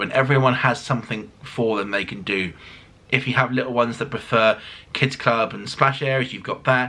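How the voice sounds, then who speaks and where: A man with a British accent, over noticeable background noise. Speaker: cruise vlogger. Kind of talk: casual review monologue. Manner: fast; animated.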